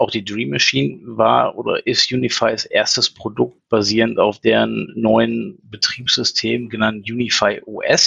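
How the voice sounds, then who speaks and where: Speaking at a fairly slow pace, a man goes on with hardly any pauses. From Ruhr area, Germany (Essen). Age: 40s. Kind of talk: casual chat.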